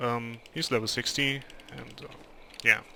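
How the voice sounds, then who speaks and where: The speaker is a man with a medium pitch. He has a German accent. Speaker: gaming video creator. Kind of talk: gameplay commentary. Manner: halting, many fillers.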